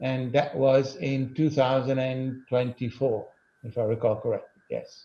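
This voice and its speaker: A man speaks with an Italian accent at medium pitch. His pace is fairly slow and his intonation fairly even. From Italy. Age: 60s. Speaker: lawyer. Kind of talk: interview answers.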